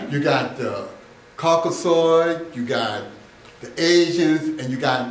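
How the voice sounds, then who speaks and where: Noticeable background noise and audible room echo both come through in the clip. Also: man. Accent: American. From Michigan. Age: 60s. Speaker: self-styled relationship educator. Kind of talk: informal lecture. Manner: halting, with many fillers.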